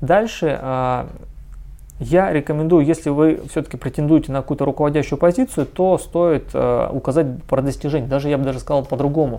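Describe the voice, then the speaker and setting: A man speaks at a fairly high pitch in a dark, mellow tone. His pace is moderate and his intonation fairly even. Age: 30s. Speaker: recruiting agency director. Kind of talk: tutorial. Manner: halting, frequent filler sounds.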